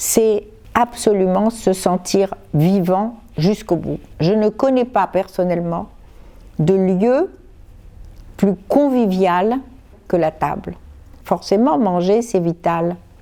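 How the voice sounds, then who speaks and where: A woman speaks at a very slow pace with long, frequent pauses. Her medium-pitched voice has a dark, mellow tone and ordinary pitch variation. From Morocco. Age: 70s. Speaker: author and cook. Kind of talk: interview answer. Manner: clear.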